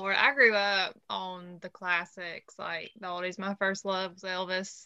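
Against a quiet background, a woman with a bright, sharp tone and a Southern US accent speaks very slowly at a medium pitch in a flat monotone. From Alabama. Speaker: music podcast host and artist manager. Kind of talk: casual panel chat.

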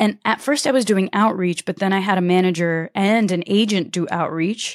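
With a plain, everyday voice, a woman speaks at a medium pitch with ordinary pitch variation, the sound dry and close with no echo. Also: very clean recording, silent background. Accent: American. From US Northeast, Connecticut. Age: 30s. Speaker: entrepreneur and YouTuber. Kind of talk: interview.

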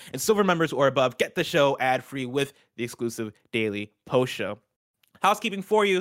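This man's voice sits fairly high. He talks fairly quickly, with very wide pitch swings. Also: very clean recording, silent background. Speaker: video game news show host. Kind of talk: casual chat; news reading. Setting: live stream studio. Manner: loud.

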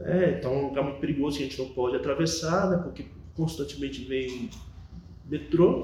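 Audible room echo surrounds a man whose dark, mellow voice carries vocal fry and ordinary pitch variation. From Bahia, Brazil (moved from São Paulo as a small child). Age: 40s. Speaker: Jesuit priest. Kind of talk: interview testimony.

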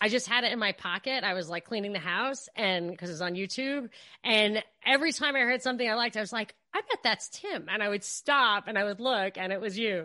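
This woman has a fairly high pitch, a bright, sharp tone and an American accent, speaking at a fairly quick pace with ordinary pitch variation. The sound is dry and close with no echo against a quiet background. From New York. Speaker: podcast host. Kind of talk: interview. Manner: fast.

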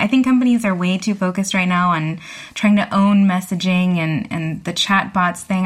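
Speaking at a fairly quick pace, a woman uses a normal speaking voice that sits fairly low, with fairly even intonation. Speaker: tech journalist. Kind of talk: casual panel discussion.

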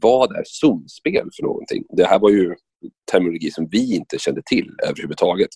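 At a moderate pace, a man speaks with a dry, close sound that has no echo. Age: 30s. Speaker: radio sports commentator and former footballer. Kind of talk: podcast interview.

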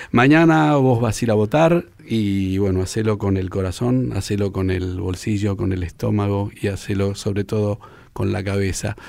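A man with a Rioplatense accent speaks fairly low at a moderate pace, with ordinary pitch variation and hardly any pauses. The recording is very clean with a silent background. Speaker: radio host. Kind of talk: radio interview.

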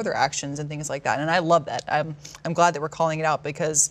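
With noticeable background noise, someone talks very fast in an American accent. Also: woman. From Texas, Dallas. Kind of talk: casual chat.

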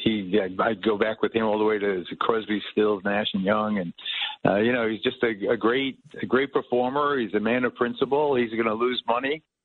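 A man with an American accent speaks in a plain, everyday voice at a moderate pace. His pitch is fairly low and his intonation fairly even.

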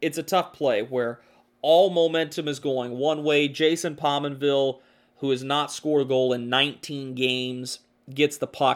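A man's normal speaking voice, fairly high in pitch, with fairly even intonation and a moderate pace. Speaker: podcast host and hockey commentator. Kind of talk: sports podcast recap, play-by-play style narration of a hockey game. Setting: studio podcast. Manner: conversational, opinionated.

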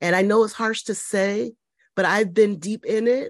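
This is a woman with an American accent and an unremarkable speaking voice, medium in pitch. She talks at a moderate pace with a quiet background. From Connecticut, US. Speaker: nursing professor and midwife. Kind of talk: interview conversation.

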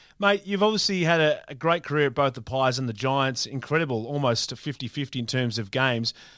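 Energetic and quick, a man talks with an Australian accent at medium pitch. His intonation is lively, and he hardly pauses. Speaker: radio host. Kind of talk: radio sports show, upbeat DJ-style patter with sponsor reads and guest intros. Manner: energetic, fast-paced, punchy promo delivery.

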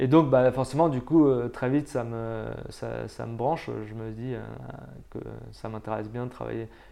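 A man with a dark, mellow tone and medium pitch speaks at a moderate pace with fairly even intonation. His loudness swings widely, and he leaves long, frequent pauses. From France. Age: 30s. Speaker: volcanologist. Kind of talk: interview.

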